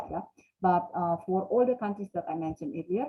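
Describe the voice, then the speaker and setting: The voice belongs to a woman and sits fairly low in pitch. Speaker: company representative. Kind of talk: business presentation. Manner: halting.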